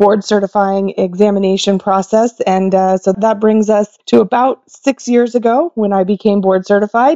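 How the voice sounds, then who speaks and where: A woman's medium-pitched voice with an American accent at a moderate pace, a plain, everyday voice, with ordinary pitch variation. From Oklahoma. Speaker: veterinary ophthalmologist. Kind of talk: interview.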